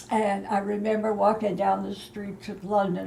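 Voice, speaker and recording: A woman speaks over noticeable background noise. Room echo is audible. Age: 80s+. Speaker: eyewitness interviewee. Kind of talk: interview. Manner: halting.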